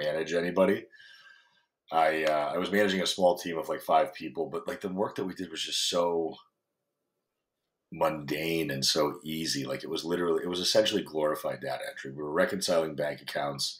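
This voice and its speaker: Fairly quick speech from a man with a very deep, low voice. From foreign country. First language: not English. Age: 30s. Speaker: fitness coach. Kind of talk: podcast interview. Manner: casual, profane.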